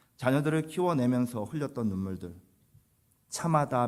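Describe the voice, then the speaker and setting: A man speaks in a plain, everyday voice. His pace is fairly slow and his intonation lively. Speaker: pastor. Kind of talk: sermon.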